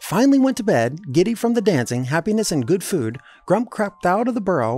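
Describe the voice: The speaker reads the text aloud in a plain way.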